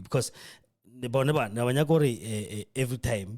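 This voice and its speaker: A man speaks in a somewhat breathy voice. His pitch rises and falls in an ordinary way. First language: not English. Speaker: podcast host. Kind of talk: political commentary. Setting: radio studio.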